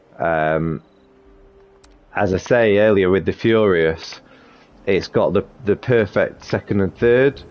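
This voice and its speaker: A man with a slight Sheffield accent speaks at a very slow pace in a fairly low pitch, with ordinary pitch variation, very even loudness, and long, frequent pauses. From northern England, Sheffield. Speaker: gaming video creator. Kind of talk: tutorial. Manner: casual, hesitant with fillers.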